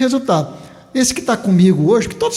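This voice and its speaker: His pitch swinging very widely, the male speaker talks fairly quickly. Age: 70s. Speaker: farmer and former teacher. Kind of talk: interview.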